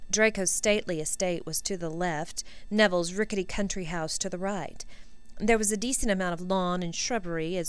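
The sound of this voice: The recording presents an unforced reading voice from start to finish.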